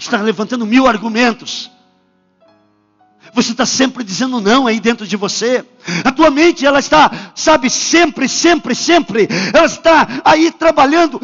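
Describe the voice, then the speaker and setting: This man speaks at an extremely high pitch, his intonation lively. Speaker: pastor. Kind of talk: sermon. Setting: church. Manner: animated.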